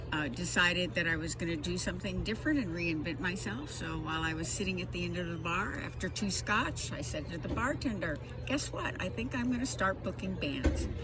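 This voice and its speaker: With music in the background and audible room echo, a woman talks fairly quickly with hardly any pauses. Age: 70s. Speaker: music booking agent, retired veterinarian. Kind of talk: interview. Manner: halting, many fillers.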